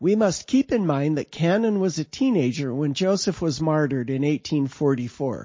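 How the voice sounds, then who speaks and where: A plain, everyday voice from a man, pitched fairly high, its intonation lively, its pace moderate. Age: 60s. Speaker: author reading own paper. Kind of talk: reading aloud.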